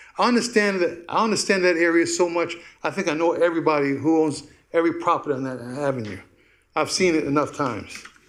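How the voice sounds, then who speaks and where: A man with a high voice speaks at a very fast pace, with audible room echo around him. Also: ordinary pitch variation. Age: 60s. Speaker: business owner presenting a proposal. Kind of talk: public comment at council meeting. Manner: halting.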